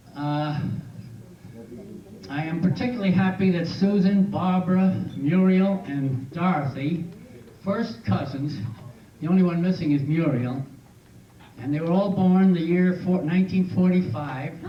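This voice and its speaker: Amid audible room echo, a high-pitched man speaks at a fairly slow pace with ordinary pitch variation and long, frequent pauses. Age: 80s+. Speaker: birthday celebrant. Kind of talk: reading aloud. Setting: birthday party with audience.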